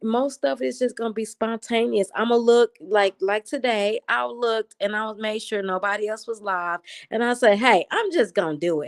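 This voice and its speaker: Fairly high-pitched and animated, a woman talks at a moderate pace with lively intonation, captured in a dry, close sound with no echo on a very clean recording with a silent background. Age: 40s. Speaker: lifestyle live streamer. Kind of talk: casual live-stream chat. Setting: late-night live stream. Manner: loud.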